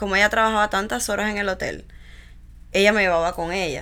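On a very clean recording with a silent background, a woman speaks at a medium pitch with fairly even intonation and a bright, sharp tone. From Cuba, Villa Clara. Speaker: founder of pediatric therapy center. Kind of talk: interview.

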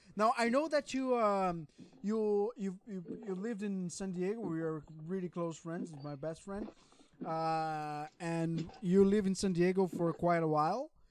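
A man speaks with a Portuguese accent and a high pitch. His pace is fairly slow, with ordinary pitch variation. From Brazil. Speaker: podcast co-host. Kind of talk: casual chat.

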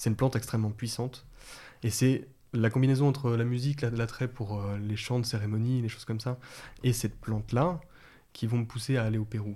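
A man's somewhat breathy, dark, mellow voice of medium pitch, fairly even intonation and long, frequent pauses, in a very clean recording with a silent background. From France, Lyon area. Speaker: herbalist. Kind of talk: interview conversation. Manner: halting, repeats words.

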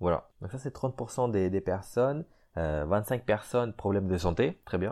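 A man's fairly low voice with lively intonation, a fairly slow pace and a quiet background. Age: 20s. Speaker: podcast host, amateur fitness enthusiast. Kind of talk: casual solo podcast talk. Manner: halting, many repetitions and fillers.

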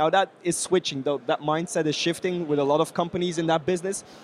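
High-pitched male voice with a Belgian accent, a fairly quick pace and fairly even intonation. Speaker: podcast host. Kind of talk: casual interview chat.

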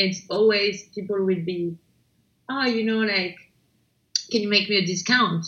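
Speaking in a French accent at a fairly slow pace, a woman uses a medium pitch and leaves long, frequent pauses. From France, Paris. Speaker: startup founder and CEO. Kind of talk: interview. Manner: hesitant, many fillers.

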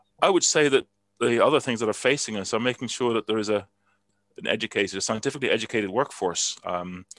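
Speaking at a fairly quick pace, a man has a fairly low pitch with ordinary variation. The recording is very clean with a silent background, the sound dry and close with no echo. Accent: Dutch. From Netherlands. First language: Dutch. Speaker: chemistry professor. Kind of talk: interview. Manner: hesitant, many fillers and repeats.

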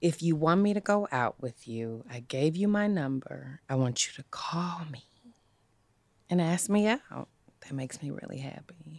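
With lively intonation, a woman talks at a moderate pace in a very deep, low pitch. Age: 30s. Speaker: podcast guest. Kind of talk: casual chat. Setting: studio.

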